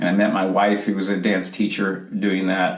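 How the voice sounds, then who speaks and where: Over noticeable background noise and audible room echo, a man talks at a fairly quick pace with a fairly low pitch. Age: 60s. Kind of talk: interview. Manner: halting.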